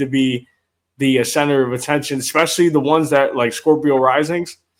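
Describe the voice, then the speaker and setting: The speaker is a man with a fairly high pitch. His intonation is monotone and flat. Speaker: podcast host. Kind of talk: casual chat. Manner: slow and steady.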